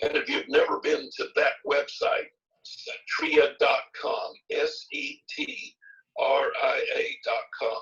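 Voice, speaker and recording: A man's extremely high-pitched voice, very wide pitch swings, at a very slow pace. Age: 70s. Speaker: health supplement doctor. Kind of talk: Q&A session.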